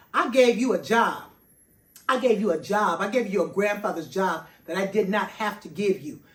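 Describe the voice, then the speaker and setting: With lively intonation and an animated tone, a woman speaks at a moderate pace in a medium-pitched, somewhat breathy voice. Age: 60s. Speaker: personal chef and vlogger. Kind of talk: personal monologue vlog.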